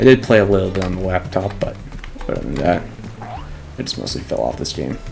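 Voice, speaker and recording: The talking moves fairly quickly. Behind it, music is playing. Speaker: gaming youtuber. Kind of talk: let's play commentary. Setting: home recording at night. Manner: soft-spoken; halting.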